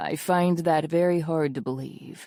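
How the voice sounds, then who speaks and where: A woman puts on a character voice with a rumbling, fairly low pitch. She keeps a moderate pace and fairly even intonation. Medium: read story. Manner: clipped, dry, sarcastic.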